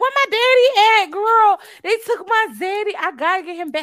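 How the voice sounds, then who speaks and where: In a put-on character voice, a female-sounding speaker shouts at a moderate pace in an extremely high pitch. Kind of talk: casual, slangy. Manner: screaming, distraught.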